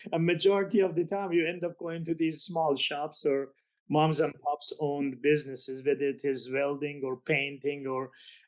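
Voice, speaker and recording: Talking at a moderate pace, this speaker has a non-native accent. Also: man. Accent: foreign. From Azerbaijan, Iran and Turkey. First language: Azeri. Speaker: business author. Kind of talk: podcast interview. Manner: halting.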